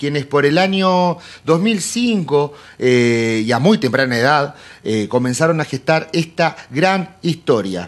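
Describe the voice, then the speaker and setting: Lively intonation runs through this man's a plain, everyday voice, which sits at a fairly high pitch. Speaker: podcast host. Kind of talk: casual interview.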